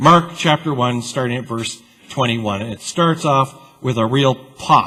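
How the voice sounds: Ordinary rises and falls in pitch across a natural reading voice.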